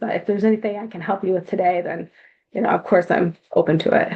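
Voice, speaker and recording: A woman speaks at a medium pitch. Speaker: nonprofit reentry program presenter. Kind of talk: presentation on a video call meeting.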